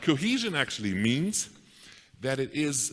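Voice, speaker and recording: In a non-native accent, a man speaks with very wide pitch swings and vocal fry. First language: not English. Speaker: conference keynote speaker. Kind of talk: conference keynote talk. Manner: halting, many repeated words.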